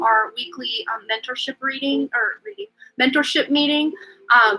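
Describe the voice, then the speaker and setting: Her voice is raised and projected. This woman's pitch is high, and her intonation is lively. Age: 30s. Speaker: tarot reader and livestream host. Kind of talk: live stream chat reading viewer comments. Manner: casual, filler-heavy.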